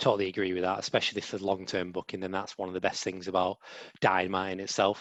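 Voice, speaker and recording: Someone with an English accent is recorded dry and close with no echo, against a quiet background. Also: man. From England. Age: 20s. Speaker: podcast co-host. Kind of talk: casual chat.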